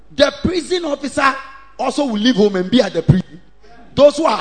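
Against noticeable background noise, a man speaks in an animated tone at a fairly quick pace, his pitch swinging very widely. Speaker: preacher. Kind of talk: sermon. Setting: church with congregation. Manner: animated, call-and-response preaching; loud, exhorting, rhythmic repetition.

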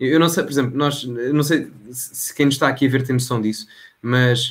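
Here a man speaks with a fairly high pitch. His voice is somewhat breathy. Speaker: local politician and political content creator. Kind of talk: casual political interview.

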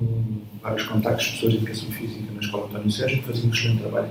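A man with a medium pitch, a very fast pace and monotone, flat intonation, plus audible room echo and noticeable background noise. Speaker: athletics coach. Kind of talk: interview. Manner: halting.

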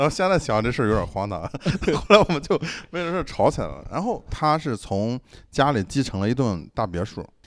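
A man talks at a fairly quick pace and a fairly high pitch, with very wide pitch swings and vocal fry. The recording is very clean, with a silent background. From Shandong, China. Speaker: podcast host. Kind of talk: casual chat.

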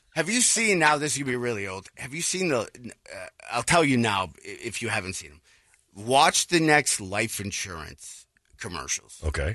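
A man with vocal fry and a bright, sharp tone speaks at a moderate pace, with very wide pitch swings and big swings in loudness. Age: 50s. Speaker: radio co-host. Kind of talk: casual chat.

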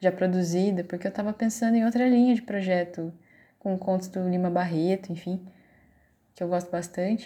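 The voice has a dark, mellow tone, somewhat breathy, with fairly even intonation at a moderate pace. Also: woman, medium pitch for a woman. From Brazil, São Paulo interior (Vale do Paraíba). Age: 30s. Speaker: teacher. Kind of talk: course project presentation.

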